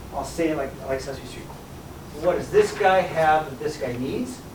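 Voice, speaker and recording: A man speaks at a moderate pace in a high pitch for a man. Noticeable background noise and audible room echo fill the recording. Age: 60s. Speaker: math teacher. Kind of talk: classroom lecture. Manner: animated.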